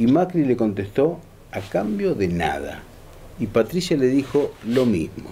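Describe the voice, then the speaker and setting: A man speaks at a fairly slow pace in a somewhat breathy voice with a dark, mellow tone. His pitch swings very widely over light background noise. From Argentina. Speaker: radio show host. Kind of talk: casual panel chat. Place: cafe.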